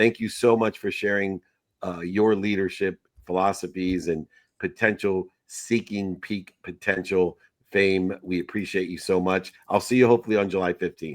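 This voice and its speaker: In a dry, close recording with no echo and a very clean, silent background, a man with an ordinary speaking voice talks at a moderate pace, his fairly low pitch following fairly even intonation. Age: 50s. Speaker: podcast host. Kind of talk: casual chat.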